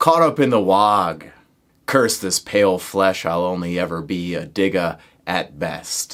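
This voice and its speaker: In a put-on character voice, a man talks at a fairly slow pace with a very deep, low pitch on a very clean recording with a silent background. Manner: growling, rough.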